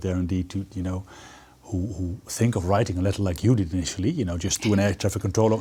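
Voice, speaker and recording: With a dark, mellow tone and a somewhat breathy sound, a man talks at a very fast pace, fairly low in pitch and fairly even in intonation. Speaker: TV show host. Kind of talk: interview questions.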